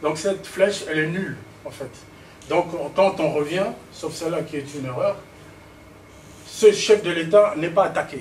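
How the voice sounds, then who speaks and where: Noticeable background noise sits behind a man with a high pitch. His loudness swings widely, and he leaves long, frequent pauses. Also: ordinary pitch variation, moderate pace. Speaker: political speaker. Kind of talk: political speech with slides. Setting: public meeting in Paris. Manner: halting, many repetitions and fillers.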